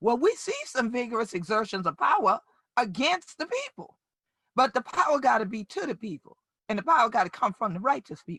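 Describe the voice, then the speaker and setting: A woman speaks in a South Carolina Lowcountry accent with a bright, sharp, animated tone. Her pitch swings very widely, and the sound is dry and close with no echo. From Gullah/Geechee Sea Islands, US South coast. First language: Gullah. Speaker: community leader and justice advocate. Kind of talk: keynote speech. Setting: virtual summit.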